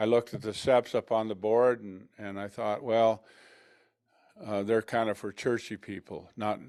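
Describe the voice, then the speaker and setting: A fairly low-pitched man with an American accent and monotone, flat intonation, on a very clean recording with a silent background. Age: 70s. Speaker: person in recovery. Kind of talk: testimony. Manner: halting.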